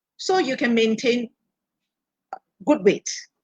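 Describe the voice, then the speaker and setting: Her pitch fairly high, a woman speaks at a fairly slow pace with very wide pitch swings. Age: 60s. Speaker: health products expert. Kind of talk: live-stream Q&A talk. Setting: live stream.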